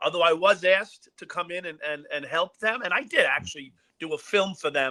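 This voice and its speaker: Projecting a raised voice with a bright, sharp tone, a man speaks at a high pitch in a New York accent. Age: 60s. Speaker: former police officer. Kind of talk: interview. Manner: halting.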